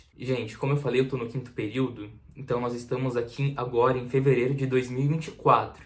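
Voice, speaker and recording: Amid audible room echo, a man speaks at a very fast pace and a medium pitch. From Santa Catarina, southern Brazil. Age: 20s. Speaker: university student, vlogger. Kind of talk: casual vlog talk to camera.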